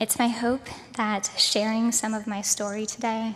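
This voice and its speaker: A shaky, fairly high woman's voice, monotone and flat, at a fairly slow pace. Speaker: keynote speaker. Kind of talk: keynote speech. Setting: stage with audience at a conference. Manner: shaky, trembling voice.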